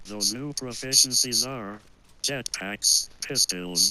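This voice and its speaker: Put-on character voice from a man, pitched in the medium range and delivered at a fairly slow pace. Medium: machinima. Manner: earnest, chatty, precise.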